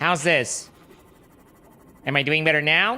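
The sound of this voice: In a put-on character voice, the speaker sounds nasal at a middle pitch and talks at a moderate pace.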